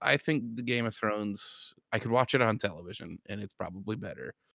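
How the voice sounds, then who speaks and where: Recorded very cleanly against a silent background, a man with a plain, everyday voice talks at a moderate pace and a medium pitch, the sound dry and close with no echo. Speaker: podcast host. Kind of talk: casual chat.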